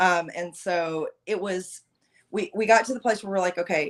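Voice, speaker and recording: A woman speaks loudly at a moderate pace, her pitch medium with ordinary variation. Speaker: podcast guest. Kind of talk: casual chat.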